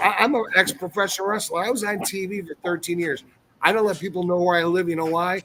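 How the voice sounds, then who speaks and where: A raised, projected voice at a very fast pace, with fairly even intonation. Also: man, high pitch for a man. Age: 60s. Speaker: ex-professional wrestler. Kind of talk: casual chat.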